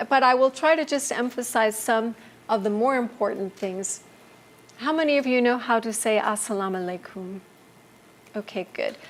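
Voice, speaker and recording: Over noticeable background noise, a woman with an American accent and a fairly high pitch speaks with ordinary pitch variation and long, frequent pauses. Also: moderate pace. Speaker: ministry trainer. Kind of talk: lecture.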